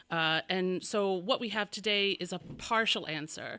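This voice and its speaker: A woman's loud voice sits at a medium pitch, with a bright, sharp tone and ordinary pitch variation. The recording is very clean, with a silent background. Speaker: bell ringing council presenter. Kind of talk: conference presentation. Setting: crowded meeting room with audience. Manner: halting.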